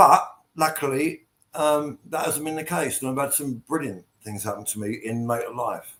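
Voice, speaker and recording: A man with an English accent speaks at a moderate pace, using a fairly high pitch with ordinary pitch variation. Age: 60s. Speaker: post-punk band frontman. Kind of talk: casual chat. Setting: video call.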